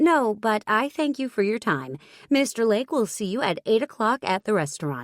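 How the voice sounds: The words are read in a natural reading voice.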